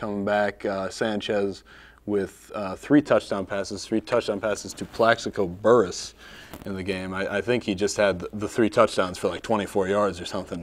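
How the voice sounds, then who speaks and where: Fairly low in pitch, this man talks in a monotone with flat intonation. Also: moderate pace. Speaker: sports show co-host. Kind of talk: casual sports talk.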